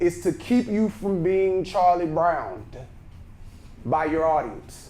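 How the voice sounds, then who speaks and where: A loud, high-pitched male voice with a Texan accent at a very slow pace, with audible room echo. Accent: Texas Southern. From Texas, Brenham. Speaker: speaking coach. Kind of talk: workshop lecture. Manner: naturally loud.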